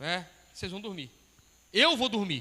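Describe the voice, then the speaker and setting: With a raised, projected voice, a man speaks in a high pitch and a bright, sharp tone. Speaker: pastor. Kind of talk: sermon.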